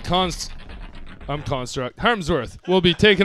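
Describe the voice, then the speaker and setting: The man's intonation is lively. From Montreal, Canada. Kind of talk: live internet radio DJ patter between tracks. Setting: studio, live online broadcast. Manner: upbeat, casual, laid-back hype-man energy with slang shout-outs; chatty, fillers like 'uh', friendly and rambling.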